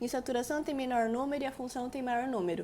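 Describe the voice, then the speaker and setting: The woman's voice sits at a high pitch. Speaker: chemistry teacher. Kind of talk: lecture.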